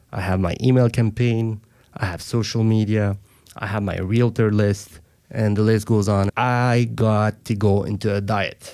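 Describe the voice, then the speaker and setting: In a French accent, the dark, mellow voice speaks at a fairly slow pace with fairly even intonation. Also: man. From Africa, French-speaking. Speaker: mortgage broker and team lead. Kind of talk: podcast interview. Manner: confident, conversational.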